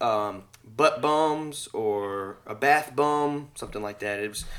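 A man speaks with a Southern US accent and a fairly high pitch. His intonation is lively. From Mississippi, US South. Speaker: podcast host. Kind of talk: casual chat.

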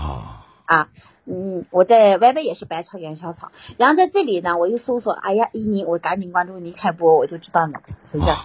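With lively intonation and big swings in loudness, a woman at medium pitch speaks at a fairly quick pace. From Guilin, Guangxi, southern China. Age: 30s. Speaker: caller. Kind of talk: casual chat.

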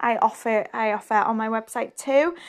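Against a quiet background, the speaker talks at a fairly slow pace with ordinary pitch variation. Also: woman. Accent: Scottish. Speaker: podcast host. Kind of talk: casual chat.

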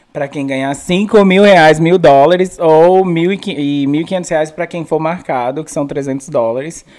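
Against noticeable background noise, a man with a fairly high pitch talks fairly slowly, barely pausing, his pitch varying in an ordinary way while his loudness swings widely. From Brasília satellite cities, Brazil. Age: 20s. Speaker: comedian. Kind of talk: casual chat.

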